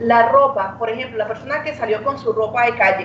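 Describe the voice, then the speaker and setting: A woman with a high pitch speaks fairly quickly, her pitch varying in an ordinary way. Audible room echo and noticeable background noise fill the recording. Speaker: medical doctor. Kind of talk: radio interview.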